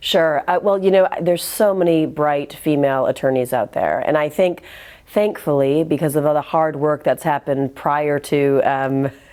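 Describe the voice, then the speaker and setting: In an American accent, a woman talks at a moderate pace with a very deep, low pitch and ordinary pitch variation. Her tone is dark and mellow, and her loudness stays very even. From US Midwest, Michigan. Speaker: arbitration lawyer. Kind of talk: interview. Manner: frequent fillers and repetitions.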